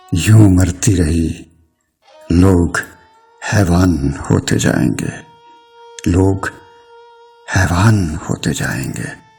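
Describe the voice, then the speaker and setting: With music in the background, a man with a very deep, low pitch speaks with ordinary pitch variation. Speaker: poet. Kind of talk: poetry reading.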